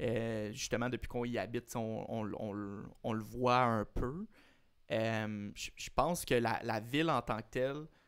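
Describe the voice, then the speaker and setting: A man's medium-pitched voice with a Quebec accent and ordinary pitch variation, very slow in pace, on a very clean recording with a silent background. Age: 20s. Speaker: tennis podcast co-host. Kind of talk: casual chat. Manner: halting, repeats words.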